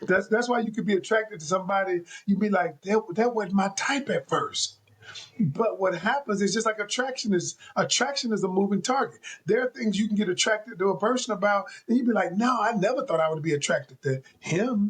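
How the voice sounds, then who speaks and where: Very even in loudness, a man speaks in an animated tone at a fairly quick pace and a high pitch. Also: ordinary pitch variation. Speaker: relationship coach. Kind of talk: casual chat. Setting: video call.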